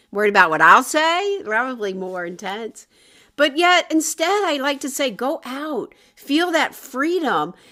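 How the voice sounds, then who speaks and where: A woman's high, bright, sharp voice is raised and projected, moving at a moderate pace through very wide pitch swings. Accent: American. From US South. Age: 60s. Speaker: wellness coach. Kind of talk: online workshop.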